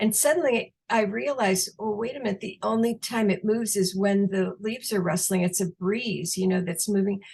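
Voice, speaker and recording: Somewhat breathy, a woman speaks at a fairly quick pace with hardly any pauses, her medium pitch showing ordinary variation. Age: 70s. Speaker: retired counseling professor and near-death researcher. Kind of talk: interview, personal story. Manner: halting, many fillers.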